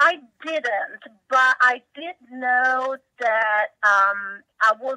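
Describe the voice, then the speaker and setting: A woman speaks in an Italian accent with a bright, sharp tone and ordinary pitch variation. The sound is dry and close, with no echo. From Italy. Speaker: tech company CEO. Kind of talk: interview.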